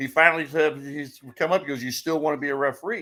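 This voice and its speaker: A man's fairly high voice with a bright, sharp tone at a moderate pace, on a very clean recording with a silent background. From US Midwest, St. Louis. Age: 60s. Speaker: wrestling referee. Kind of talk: casual chat.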